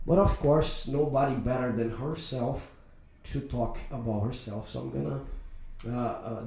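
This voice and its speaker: A man in a Portuguese accent at a medium pitch and fairly slow pace, with ordinary pitch variation and audible room echo. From Brazil. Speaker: podcast host. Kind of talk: interview.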